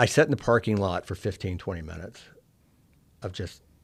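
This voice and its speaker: With an American accent, a man talks at a fairly quick pace in a very deep, low pitch, with ordinary pitch variation. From Oklahoma, Collinsville. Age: 60s. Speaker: former state senator turned lobbyist. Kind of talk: interview. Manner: halting, with repeated words.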